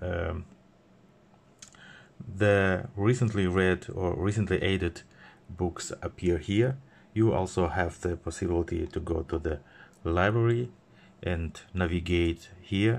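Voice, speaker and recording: With a non-native accent, a man speaks in a very deep, low voice at a fairly slow pace, using ordinary pitch variation and long, frequent pauses. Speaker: e-reader seller and reviewer. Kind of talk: product demo narration. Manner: hesitant, many fillers. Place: office. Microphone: phone near.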